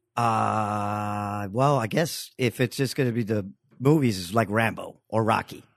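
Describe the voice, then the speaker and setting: In an American accent, a man with an ordinary speaking voice talks at a fairly slow pace. His pitch is fairly low with ordinary variation, and the background is quiet. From Queens, New York. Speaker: comedian and podcast guest. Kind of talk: casual chat.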